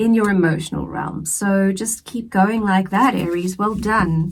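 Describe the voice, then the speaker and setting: Very slowly, a woman speaks at a medium pitch with ordinary pitch variation and a somewhat breathy voice. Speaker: tarot reader. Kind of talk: tarot reading. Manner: casual, conversational.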